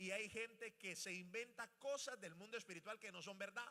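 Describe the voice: With a bright, sharp tone and lively intonation, a man talks at a moderate pace.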